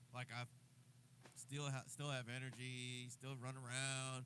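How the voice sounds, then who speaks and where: Speaking at a fairly slow pace, a man with an American accent has a medium pitch and a bright, sharp tone. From New Jersey. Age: 60s. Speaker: drummer and livestreamer. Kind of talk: casual livestream chat. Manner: animated.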